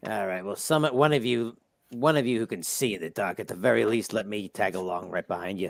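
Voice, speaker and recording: A raspy, put-on character voice from a man, fairly low in pitch and at a fairly quick pace. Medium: actual play. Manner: nervous, hesitant.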